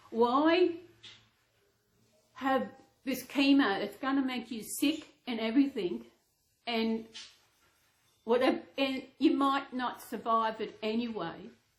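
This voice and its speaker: A woman with an Australian accent speaks at a very slow pace in a high voice, with ordinary pitch variation and long, frequent pauses. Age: 60s. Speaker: reborn doll vlogger. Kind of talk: casual chat. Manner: halting.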